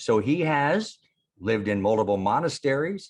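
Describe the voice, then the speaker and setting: The speaker is a man. His intonation is lively. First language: not English. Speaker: conference emcee. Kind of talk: speaker introduction. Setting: virtual conference.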